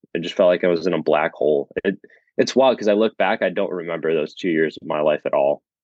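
The speaker is a man who talks very fast. His pitch varies in an ordinary way. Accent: American. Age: 20s. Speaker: chiropractic student. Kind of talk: casual interview.

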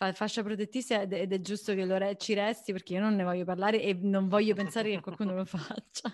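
Her pitch is medium, her intonation monotone and flat. The woman talks at a very fast pace with hardly any pauses. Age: 20s. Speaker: podcast host. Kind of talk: casual chat.

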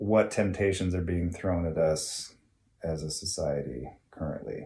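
A man with an American accent, somewhat breathy, at a fairly slow pace. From US West, Dinuba, California. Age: 40s. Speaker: electrical technician, host's husband. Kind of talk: casual chat. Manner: hesitant, many fillers.

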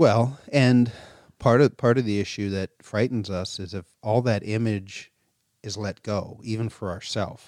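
A man talks fairly slowly at a fairly low pitch with fairly even intonation and big swings in loudness, in a normal speaking voice. The recording is very clean with a silent background. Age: 50s. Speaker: pastor. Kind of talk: sermon discussion.

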